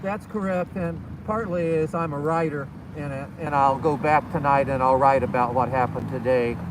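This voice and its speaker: A man's fairly high voice at a moderate pace, ordinary pitch variation, audible room echo and noticeable background noise. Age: 70s. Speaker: war veteran and volunteer. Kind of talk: interview.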